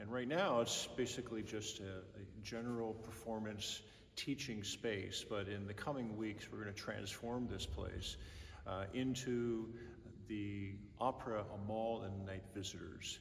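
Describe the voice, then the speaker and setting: In a normal speaking voice, a man talks at a fairly slow pace with fairly even intonation and a fairly low pitch. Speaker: opera company general director. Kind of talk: interview host talk.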